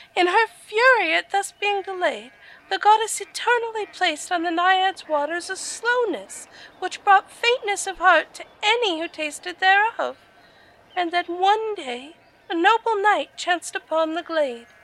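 A woman does a put-on character voice, squeaky and extremely high-pitched. She keeps a moderate pace. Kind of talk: archaic poetic diction. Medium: audio drama. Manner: formal, old-fashioned, lyrical.

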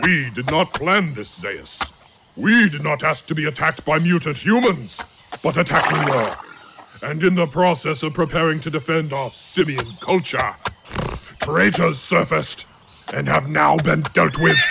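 A man puts on a character voice at a fairly high pitch. He keeps a moderate pace. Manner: booming, belligerent.

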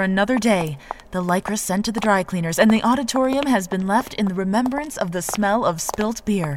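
Against noticeable background noise, a woman speaks at a moderate pace. Her pitch is fairly high and her intonation lively. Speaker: reporter character hosting a scripted wrestling comedy. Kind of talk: scripted comedic audio drama narration. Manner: animated, bright, tongue-in-cheek.

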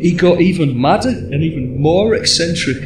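Amid noticeable background noise and audible room echo, a man with an English accent speaks at a fairly high pitch with very wide pitch swings. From England. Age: 40s. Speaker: podcast host. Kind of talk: casual chat.

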